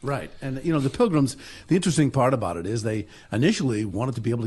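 Lively intonation marks this man's very fast pace. His voice is somewhat breathy. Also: quiet background. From New Jersey. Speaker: pastor and history foundation president. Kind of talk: radio interview.

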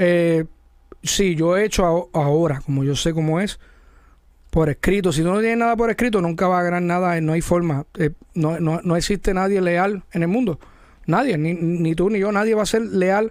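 At a moderate pace, a man talks in a high voice with ordinary pitch variation and very even loudness. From Puerto Rico, Mayagüez. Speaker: music video director. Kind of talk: casual interview.

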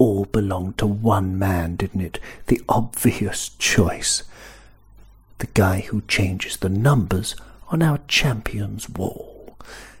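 A man is whispering at a very slow pace. His voice is somewhat breathy. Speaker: football podcaster. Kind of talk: casual voice note.

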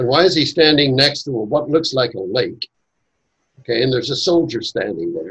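A man talks with vocal fry. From Northern Ireland. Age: 80s. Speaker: author and Masonic educator. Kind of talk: casual interview conversation.

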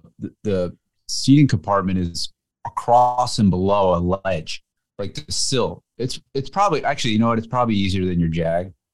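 Recorded with a dry, close sound and no echo, a man uses an ordinary speaking voice with an American accent. His pitch is fairly low, his pace moderate and his pitch variation ordinary. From US, New Jersey. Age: middle-aged. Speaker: car magazine editor. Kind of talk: casual chat.

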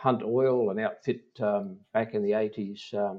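A man speaks with an Australian accent in a dark, mellow tone. His intonation is fairly even. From South Australia, the Mallee. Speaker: mining company executive. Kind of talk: interview. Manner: halting.

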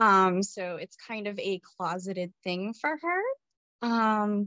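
A woman talks at a medium pitch. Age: 20s. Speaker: numerology reader and spiritual guest. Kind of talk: casual interview chat.

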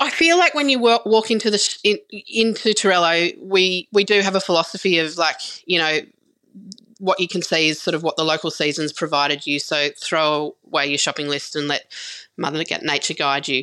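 A woman with an Australian accent and a bright, sharp tone speaks at a moderate pace, fairly low in pitch with ordinary variation, on a very clean recording with a silent background. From rural New South Wales, Australia. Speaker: farmer and food shop owner. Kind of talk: interview. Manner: hesitant, many fillers.

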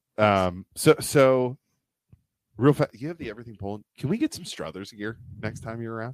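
A man with an American accent talks at a moderate pace in a normal speaking voice, with ordinary pitch variation and big swings in loudness. The sound is dry and close, with no echo. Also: medium pitch for a man. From Youngstown area, Ohio. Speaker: podcast co-host. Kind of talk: casual chat. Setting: studio.

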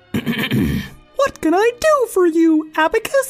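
This put-on character voice is extremely high in pitch and very slow. Faint music plays in the background. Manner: cheery, bright.

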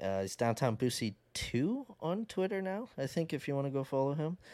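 Over a silent background in a very clean recording, a man speaks at a moderate pace in a fairly high pitch. His tone is dark and mellow, and his pitch swings very widely. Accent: Canadian. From Canada. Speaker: sports podcaster. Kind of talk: casual chat.

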